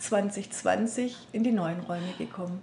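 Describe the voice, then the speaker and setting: Somewhat breathy, a woman speaks with a dark, mellow tone and fairly even intonation. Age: 50s. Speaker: healing practice and seminar center owner. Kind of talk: interview. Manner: hesitant, many fillers.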